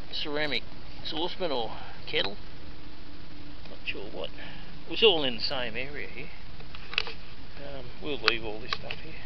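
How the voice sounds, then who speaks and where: A man talks at a moderate pace with long, frequent pauses, in a dry sound with no echo over noticeable background noise. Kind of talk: casual vlog commentary. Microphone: phone near.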